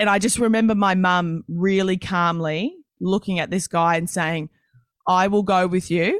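A woman with an Australian accent at medium pitch, very even in loudness, in dry, close sound with no echo on a very clean recording with a silent background. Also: fairly even intonation, moderate pace. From Australia, rural Queensland (Stanthorpe). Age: 30s. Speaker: radio host. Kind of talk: casual chat.

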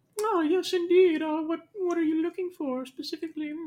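Putting on a character voice, a man talks at a moderate pace in an extremely high pitch.

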